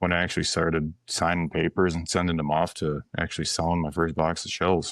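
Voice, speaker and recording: A man with an Upper Midwest US accent speaks at a fairly quick pace against a quiet background. His pitch is very deep and low, and his intonation is monotone and flat. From western Wisconsin. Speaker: ammunition company founder. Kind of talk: casual podcast interview. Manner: halting, repetitive.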